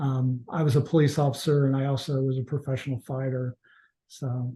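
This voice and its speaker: A somewhat breathy, medium-pitched man at a fairly quick pace with monotone, flat intonation. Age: 60s. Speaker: snake venom extractor. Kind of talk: interview.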